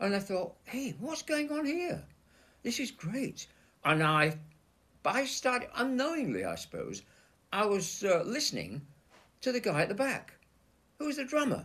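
Bright and sharp in tone, a man with a Yorkshire accent speaks at an extremely high pitch, swinging very widely in pitch and leaving long, frequent pauses. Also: moderate pace. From Leeds, Yorkshire. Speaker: session drummer. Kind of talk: interview.

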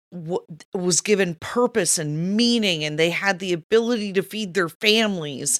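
Lively intonation and an animated tone come through in a dry, close sound with no echo, in a very clean recording with a silent background. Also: woman. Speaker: podcast co-host. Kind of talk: political commentary discussion. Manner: emotional, animated.

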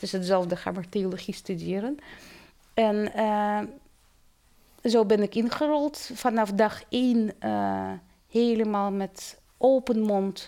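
On a very clean recording with a silent background, a woman with a slight Russian accent speaks at a very slow pace with long, frequent pauses, her fairly high voice carrying a dark, mellow tone and ordinary pitch variation. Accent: slight Russian accent in Dutch. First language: Russian (speaking Dutch). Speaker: theology professor. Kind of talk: interview. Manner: halting.

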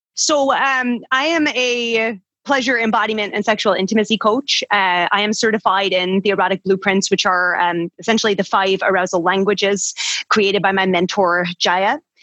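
A woman with a Scottish accent at a moderate pace, ordinary pitch variation and very even loudness. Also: medium pitch for a woman. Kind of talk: casual chat. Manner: animated.

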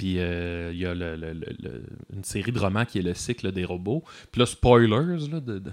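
Here a man speaks with a very deep, low pitch and lively intonation at a moderate pace. The recording is very clean, with a silent background. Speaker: musician filling in as co-host. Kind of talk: casual chat.

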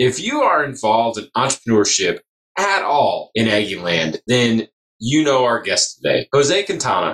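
The speech runs at a moderate pace with a dry, close sound with no echo. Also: man. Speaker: podcast host. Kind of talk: podcast interview. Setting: on-location recording in a venue green room.

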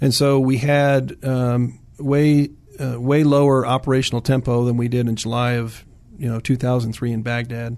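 A man with an American accent talks at medium pitch. His delivery is monotone and flat, at a moderate pace. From US South (Virginia, Williamsburg area). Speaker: army veteran and orthopedic surgeon. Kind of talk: interview. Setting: studio.

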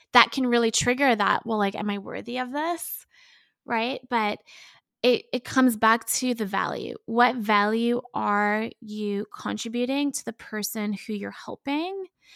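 A woman with an unremarkable speaking voice talks at a fairly slow pace and a fairly high pitch, with ordinary pitch variation, in a dry, close sound with no echo on a very clean recording with a silent background. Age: 30s. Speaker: business coach and consultant. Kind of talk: casual interview chat.

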